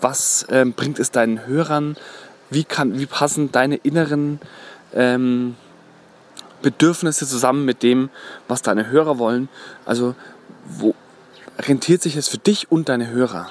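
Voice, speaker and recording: Here a man speaks fairly slowly at a medium pitch, with ordinary pitch variation and long, frequent pauses. The sound is dry and close, with no echo. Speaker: podcast host. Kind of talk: solo podcast monologue. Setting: outdoors, walking in the woods. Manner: frequent filler hesitations.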